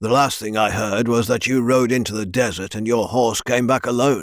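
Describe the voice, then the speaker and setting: A man's raspy, put-on character voice at medium pitch, monotone and flat, at a moderate pace, on a very clean recording with a silent background. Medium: read story. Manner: authoritative, curt.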